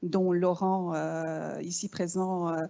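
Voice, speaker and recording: A woman with a slight Canadian French accent. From Canada (Quebec). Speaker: business school executive. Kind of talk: welcome speech. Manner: hesitant, many fillers.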